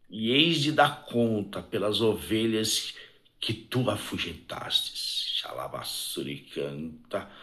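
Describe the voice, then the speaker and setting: A man at medium pitch, very slow pace, very wide pitch swings and audible room echo. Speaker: evangelical preacher. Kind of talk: sermon. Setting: live stream. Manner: soft-spoken; fervent.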